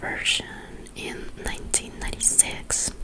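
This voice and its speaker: A woman whispering at a fairly slow pace against noticeable background noise. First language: Spanish. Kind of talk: ASMR whispered book reading. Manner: soft, whispered.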